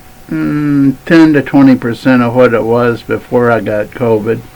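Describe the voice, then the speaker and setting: The delivery is fairly slow with fairly even intonation, set against noticeable background noise. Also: man. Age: 70s. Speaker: vlogger. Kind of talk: casual chat. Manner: halting.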